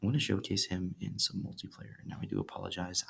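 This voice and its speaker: A man speaks at a fairly quick pace with vocal fry. His pitch is fairly low, with ordinary variation. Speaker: mobile game youtuber. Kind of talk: casual game review commentary.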